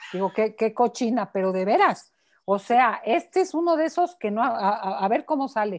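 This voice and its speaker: Pitch swings very widely at a moderate pace. The background stays quiet. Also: woman. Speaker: psychotherapist and author. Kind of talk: interview answer. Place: home room. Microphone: earbuds.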